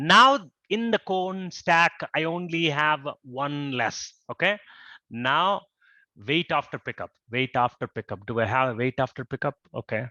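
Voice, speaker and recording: The tone is bright and sharp, with a dry, close sound and no echo. Speech moves at a fairly slow pace over a quiet background. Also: man, fairly high pitch for a man. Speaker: robotics team coach. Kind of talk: coding tutorial.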